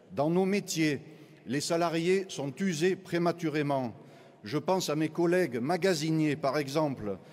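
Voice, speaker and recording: This man's voice sits at a fairly high pitch, with ordinary pitch variation and a fairly slow pace. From southern France, Marseille. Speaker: trade union delegate. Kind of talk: congress speech.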